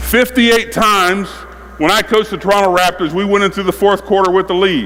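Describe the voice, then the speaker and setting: Animated and fairly quick, a man with a high voice keeps his loudness very even over noticeable background noise. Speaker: basketball coach. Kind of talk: coaching clinic with players on court.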